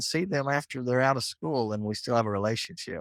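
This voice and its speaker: This man has a Texas accent and a medium pitch. His intonation is lively, and the sound is dry and close with no echo. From Texas, Muleshoe. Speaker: agriculture teacher. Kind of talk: casual chat.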